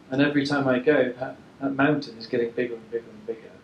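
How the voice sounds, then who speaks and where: Noticeable background noise sits behind this recording. A man speaks with ordinary pitch variation. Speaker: environmental researcher. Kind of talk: presentation talk.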